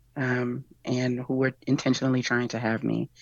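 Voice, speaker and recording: Spoken at a moderate pace with an American accent, this voice has a warm tone. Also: woman. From Texas. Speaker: community healer and activist. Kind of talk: casual chat. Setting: video call. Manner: warm, laughs often.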